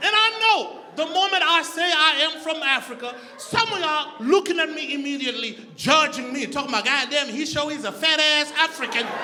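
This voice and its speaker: With an animated tone and a raised, projected voice, a man talks at a fairly quick pace with hardly any pauses, his pitch extremely high and its variation ordinary, while noticeable background noise and audible room echo fill the recording. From Zimbabwe. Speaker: comedian. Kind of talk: stand-up. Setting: stage with audience.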